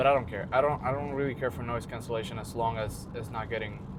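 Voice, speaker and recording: Mumbling at a fairly quick pace, a man talks with fairly even intonation amid audible room echo. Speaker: fitness vlogger. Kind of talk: casual vlog talk. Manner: fast.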